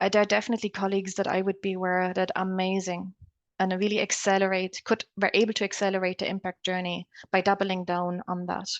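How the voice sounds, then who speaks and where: A very fast, flat, monotone delivery in a German accent, with a dry, close sound, no echo and a quiet background. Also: woman, medium pitch for a woman. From Germany. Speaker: academic researcher. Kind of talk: panel discussion. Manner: halting.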